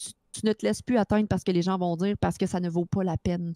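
A woman's dark, mellow tone in a Quebec accent, fairly even intonation, a dry, close sound with no echo, and a very clean recording with a silent background. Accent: Québécois French. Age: 30s. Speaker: streamer, mother. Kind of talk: casual chat.

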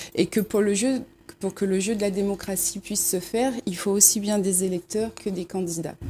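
Somewhat breathy and dark, mellow in tone, a woman's medium-pitched voice moves at a moderate pace with fairly even intonation. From Réunion, Saint-André. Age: 30s. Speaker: local election candidate. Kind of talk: talk show interview.

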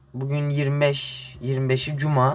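The man's voice sits at a fairly high pitch. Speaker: gaming youtuber. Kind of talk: casual gameplay commentary.

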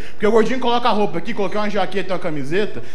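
A man's animated, high-pitched voice at a very fast pace, over light background noise. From Brazil. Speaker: stand-up comedian. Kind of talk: stand-up comedy, self-deprecating fat-body observational jokes. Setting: stage with live audience in comedy bar. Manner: animated, conversational, acting out physical bits; fast, casual, filler-heavy ('sabe?', 'cara'). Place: bar. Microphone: handheld.

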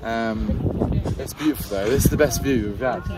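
Loud noise in the background, a man's moderate pace, and a dry sound with no echo. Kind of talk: casual vlog chat. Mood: awed, a bit uneasy. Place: open country.

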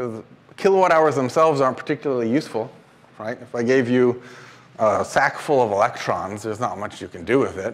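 Speaking in an American accent at a very fast pace, a man uses ordinary pitch variation. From Washington State, US. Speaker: engineering professor; guest lecturer. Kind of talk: lecture. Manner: casual, with frequent filler ums. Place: classroom.

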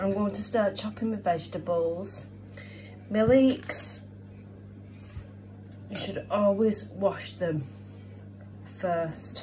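A woman's very slow delivery, with very wide pitch swings, long, frequent pauses and music in the background. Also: fairly low pitch for a woman. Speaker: home cook vlogger. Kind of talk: casual vlog chat. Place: kitchen. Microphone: phone near.

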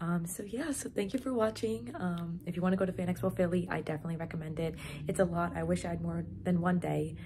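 A woman speaking at a very fast pace over light background noise. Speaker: vlogger. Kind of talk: casual vlog chat. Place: home room. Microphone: phone near.

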